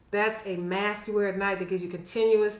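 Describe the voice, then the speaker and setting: Amid audible room echo and noticeable background noise, a woman speaks at a very fast pace with fairly even intonation. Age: 60s. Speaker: physician. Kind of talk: health education vlog. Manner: casual, conversational.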